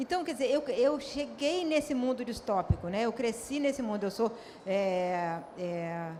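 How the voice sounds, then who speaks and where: At a fairly slow pace, a woman talks in a high pitch, with audible room echo and noticeable background noise. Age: 60s. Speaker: author. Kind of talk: panel discussion. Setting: stage with audience.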